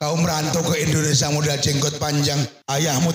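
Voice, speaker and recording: A man's fairly high voice at a fairly quick pace. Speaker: Islamic preacher. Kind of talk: religious sermon. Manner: fiery, forceful.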